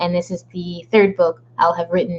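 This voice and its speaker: In a medium pitch, a woman speaks with a somewhat breathy voice. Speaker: author livestreaming a writing session. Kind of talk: casual livestream chat. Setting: livestream from home.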